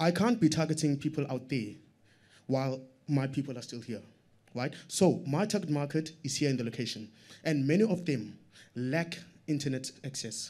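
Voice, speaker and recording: Speaking at a moderate pace, a man with a dark, mellow tone leaves long, frequent pauses. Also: ordinary pitch variation. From South Africa, Strand township; South Africa. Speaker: audience member, small business owner; audience member. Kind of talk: audience question. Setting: stage with audience. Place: meeting room.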